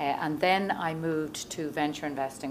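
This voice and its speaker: An Irish accent carries ordinary pitch variation, with audible room echo and noticeable background noise. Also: woman. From Ireland, Dublin. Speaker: venture investor. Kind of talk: conference talk. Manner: many fillers (um, uh).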